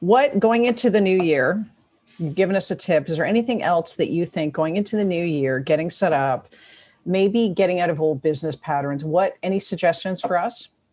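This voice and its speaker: Lively in intonation, a woman with a Toronto accent talks at a fairly quick pace and a fairly low pitch. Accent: Canadian, Toronto. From Toronto, Canada. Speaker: podcast host. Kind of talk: casual interview chat.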